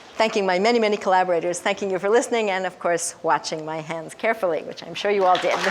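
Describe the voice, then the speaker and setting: Speaking very fast, a woman keeps a medium pitch and fairly even intonation. Noticeable background noise is present. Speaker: developmental psychologist. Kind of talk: lecture.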